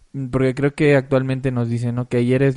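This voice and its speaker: At a very fast pace, a man talks in a medium pitch with a dark, mellow tone. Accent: Mexican. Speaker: musician. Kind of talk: casual chat.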